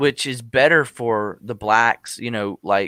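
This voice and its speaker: On a very clean recording with a silent background, a man speaks at a fairly slow pace with fairly low pitch and ordinary variation. The sound is dry and close with no echo, and his tone is bright and sharp. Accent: Southern US. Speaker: tech podcast host. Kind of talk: casual chat.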